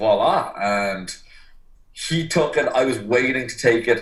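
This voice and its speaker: A man with an Irish accent speaks at a very slow pace with fairly even intonation. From Ireland. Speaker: personal trainer. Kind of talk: podcast interview.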